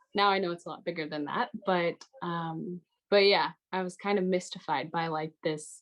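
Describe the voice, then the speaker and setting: In an American accent, a woman with an unremarkable speaking voice talks at a moderate pace, her fairly low pitch carried by fairly even intonation. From United States. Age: 20s. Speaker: high school literature teacher. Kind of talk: panel discussion.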